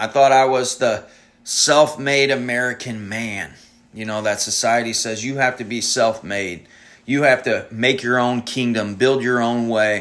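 Amid audible room echo, a man at medium pitch talks at a fairly slow pace with fairly even intonation. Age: 30s. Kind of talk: sermon-style solo talk. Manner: halting, with frequent ums.

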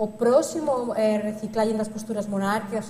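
A woman's fairly high-pitched voice at a moderate pace, with noticeable background noise. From Catalonia, Spain (Barcelona). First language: Spanish or Catalan (speaking Portuguese). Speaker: lecturer, researcher. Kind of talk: lecture.

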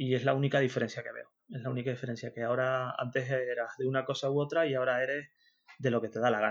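A man in a Canarian accent, very fast and monotone, with flat intonation. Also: medium pitch for a man. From Canary Islands (Tenerife). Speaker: freelance web developer. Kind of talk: interview. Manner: halting, many fillers and repetitions.

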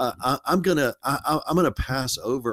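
A man talks at a fairly slow pace in an unremarkable speaking voice, with ordinary pitch variation. The recording is very clean, with a silent background. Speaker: college dean and podcast host. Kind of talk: interview conversation.

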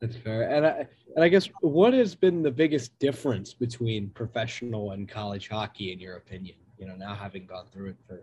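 A man's somewhat breathy, dark, mellow voice at a fairly quick pace, with big swings in loudness. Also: medium pitch for a man. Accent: American. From US Northeast. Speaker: student podcast host. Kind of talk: casual interview.

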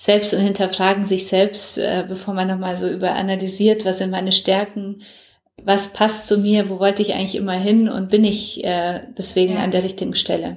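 The intonation stays monotone and flat. This woman's voice sits at a medium pitch. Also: moderate pace. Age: 40s. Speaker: publisher and entrepreneur. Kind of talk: interview. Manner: hesitant, many fillers.

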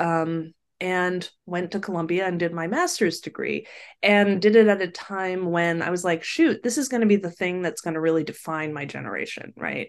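In a quiet background, a woman speaks with a fairly low pitch. Her pace is moderate, and her pitch varies in an ordinary way. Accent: American. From Sacramento, California. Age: 40s. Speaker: communications and crisis professional. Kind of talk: casual interview chat.

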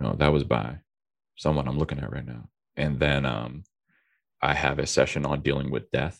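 A man at a moderate pace, with vocal fry, fairly even intonation, and long, frequent pauses. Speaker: pastor. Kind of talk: casual chat.

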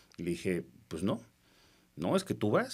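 At a fairly quick pace, a man speaks. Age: 40s. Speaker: politician. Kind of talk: casual interview.

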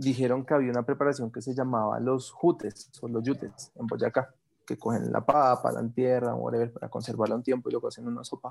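The tone is animated. Speech moves at a moderate pace. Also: man. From Bogotá, Colombia. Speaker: gastronomy professor. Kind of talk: casual interview.

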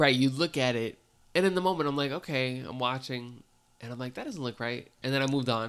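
Ordinary pitch variation and a fairly quick pace from a man at a medium pitch, an unremarkable speaking voice. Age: 30s. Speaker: horror movie podcast co-host. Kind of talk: casual chat.

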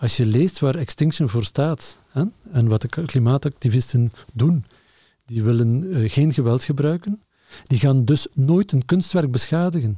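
In a dry, close sound with no echo, a man with a dark, mellow, somewhat breathy tone speaks fairly slowly at medium pitch, with lively intonation and very even loudness. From Flanders, Lokeren (East Flanders). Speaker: museum director. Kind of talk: casual interview. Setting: studio table.

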